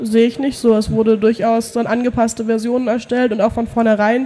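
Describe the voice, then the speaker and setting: Noticeable background noise surrounds this woman's voice. She speaks in a fairly high pitch with monotone, flat intonation. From Germany, near Heidelberg. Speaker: Linux community volunteer. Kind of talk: interview. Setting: trade fair hall.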